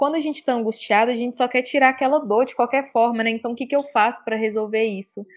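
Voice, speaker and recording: High-pitched female voice with fairly even intonation. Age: 20s. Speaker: tarot reader. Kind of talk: casual chat.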